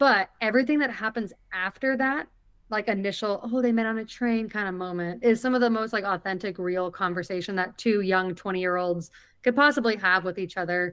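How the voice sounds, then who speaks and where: Here is a woman with a plain, everyday voice and a medium pitch. She talks at a fairly quick pace with ordinary pitch variation. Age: 30s. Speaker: movie podcast co-host. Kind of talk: casual chat. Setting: video call.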